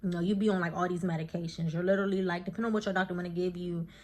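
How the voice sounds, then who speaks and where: The recording is very clean, with a silent background. A woman speaks at a medium pitch. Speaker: vlogger. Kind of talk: casual vlog talk. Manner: fast; animated.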